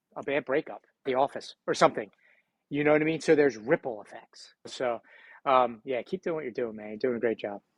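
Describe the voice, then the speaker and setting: A man with a Philadelphia accent, medium pitch and ordinary pitch variation, fairly quick pace and big swings in loudness, in a dry, close sound with no echo over a quiet background. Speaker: entrepreneur and speaker. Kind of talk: podcast interview.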